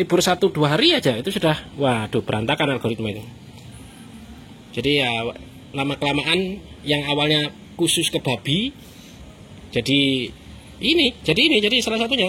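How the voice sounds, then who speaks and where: A fairly high-pitched man with a strong Javanese accent, a fairly quick pace, very wide pitch swings and long, frequent pauses, amid noticeable background noise. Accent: strong Javanese (medok). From East Java (Surabaya). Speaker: food vlogger. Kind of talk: casual chat.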